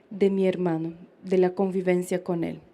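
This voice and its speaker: With a Brazilian accent, a woman speaks at a fairly slow pace. Her tone is dark and mellow. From Brazil, interior of São Paulo state. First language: Portuguese (speaking Spanish). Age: 20s. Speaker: pro-life speaker, former feminist activist. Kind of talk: public lecture, personal testimony. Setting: live event with audience, in the sun.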